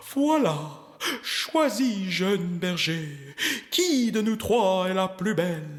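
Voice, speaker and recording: Using a put-on character voice, a man speaks at a high pitch and a very slow pace with long, frequent pauses. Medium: read story. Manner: self-satisfied, preening.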